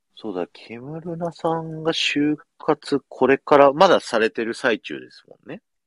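Speaking at a fairly slow pace with hardly any pauses, a man shows ordinary pitch variation and big swings in loudness in a dry, close sound with no echo. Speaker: podcast host and radio station employee. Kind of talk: casual chat. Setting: radio booth.

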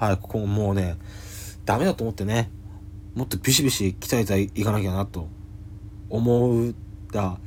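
This man has a fairly low, somewhat breathy voice with ordinary pitch variation. He talks at a moderate pace, broken by long, frequent pauses. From Japan, Yamagata. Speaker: comedian. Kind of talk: solo podcast monologue. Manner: hesitant, many fillers.

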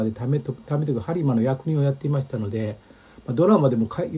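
Somewhat breathy and fairly high-pitched, a man's voice has a dark, mellow tone and ordinary pitch variation. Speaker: historian. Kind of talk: casual lecture-style chat.

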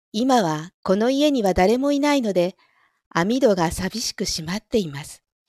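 Medium pitch from a woman with very wide pitch swings, big swings in loudness and a moderate pace, in a dry, close sound with no echo on a very clean recording with a silent background. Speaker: audio streamer who reads stories aloud. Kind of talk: reading aloud; casual chat. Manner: louder in dialogue lines.

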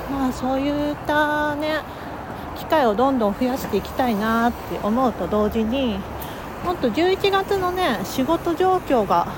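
Over noticeable background noise, a woman speaks fairly slowly in a high pitch, her voice swinging very widely up and down. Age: 30s. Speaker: life coach and podcaster. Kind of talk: casual monologue. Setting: on the move.

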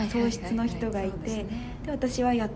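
At a moderate pace, a woman speaks with a fairly high pitch, with audible room echo and noticeable background noise. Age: 20s. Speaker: TV announcer. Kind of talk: casual chat.

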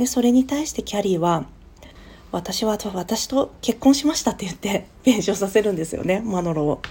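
The voice has a dark, mellow tone and is somewhat breathy. It moves at a moderate pace with lively intonation. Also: woman, medium pitch for a woman. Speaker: podcast host. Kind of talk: solo talk. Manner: casual, many fillers.

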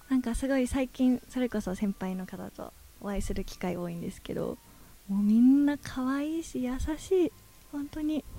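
A woman's high pitch and dark, mellow tone, lively intonation, big swings in loudness, moderate pace. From Japan, Ishikawa (Hokuriku). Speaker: adult video actress. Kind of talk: interview.

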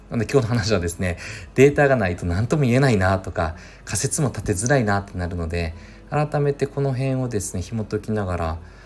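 A somewhat breathy man's voice, fairly low in pitch. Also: lively intonation, fairly quick pace. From Mie Prefecture, Japan (Suzuka). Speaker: podcast host, inbound marketing consultant. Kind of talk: solo podcast monologue. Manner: casual, thinking aloud.

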